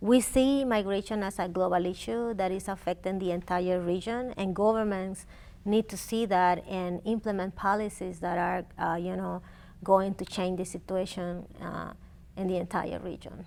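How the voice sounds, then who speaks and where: With a Spanish accent, a woman speaks in a dark, mellow tone with fairly even intonation. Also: medium pitch for a woman, moderate pace. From Honduras. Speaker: immigrant rights advocate. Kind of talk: interview.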